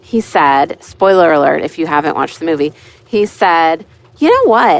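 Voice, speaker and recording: A woman's normal speaking voice with an American accent. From Pittsburgh, Pennsylvania. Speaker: listener leaving voicemail. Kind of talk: voicemail message.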